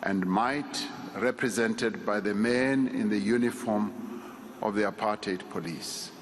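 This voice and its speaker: Over noticeable background noise, a man speaks at a fairly slow pace with a medium pitch, fairly even intonation and very even loudness. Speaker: eulogy speaker, state leader. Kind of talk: eulogy delivered at a funeral service. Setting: memorial service speech.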